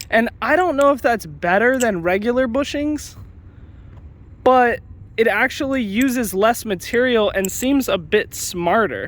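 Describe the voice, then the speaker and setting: A man speaks in an extremely high voice, with ordinary pitch variation and very even loudness. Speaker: knife hobbyist youtuber. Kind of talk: product review tutorial. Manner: casual, hesitant with many fillers.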